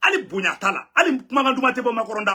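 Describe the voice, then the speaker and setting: A man's high-pitched, raised and projected voice, animated, with a bright, sharp tone. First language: Bambara (speaking French). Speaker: news commentator. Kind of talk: news commentary.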